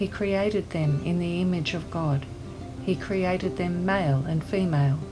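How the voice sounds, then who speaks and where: With music in the background, a woman with an Australian accent speaks at a fairly low pitch with ordinary pitch variation. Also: moderate pace. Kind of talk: scripture reading.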